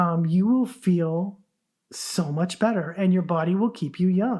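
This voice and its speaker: The woman speaks in a dark, mellow tone that is somewhat breathy. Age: 60s. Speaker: podcast host. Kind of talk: casual podcast monologue. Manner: conversational, with false starts.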